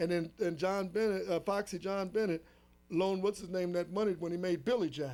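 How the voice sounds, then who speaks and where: This man has a high voice and fairly even intonation. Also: fairly quick pace. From Los Angeles, US. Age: 60s. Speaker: drummer. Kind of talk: interview.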